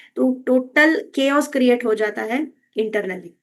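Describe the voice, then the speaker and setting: This woman's voice is high-pitched. It shows ordinary pitch variation. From Karnataka, India. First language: Kannada (speaking Hindi). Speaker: health and wellness educator. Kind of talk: educational talk. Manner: Hindi-English code-switching with frequent fillers.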